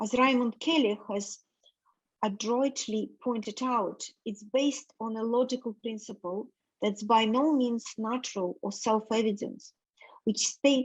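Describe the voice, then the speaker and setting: With a non-native accent, a woman speaks fairly slowly at a fairly high pitch, somewhat breathy and with fairly even intonation, over a quiet background. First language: not English. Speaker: reading group participant. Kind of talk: reading aloud.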